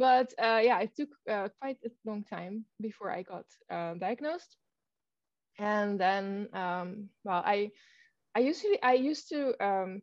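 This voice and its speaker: With lively intonation and big swings in loudness, a woman speaks fairly slowly. Her fairly high voice carries a Dutch accent. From Netherlands. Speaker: author. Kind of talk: casual chat. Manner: halting, many fillers.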